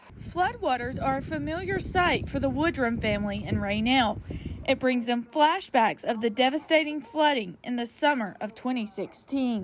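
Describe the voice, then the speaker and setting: Over noticeable background noise, a woman speaks at a moderate pace in a high pitch. Her intonation is lively. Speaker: local TV news reporter. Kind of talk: television news reporter package.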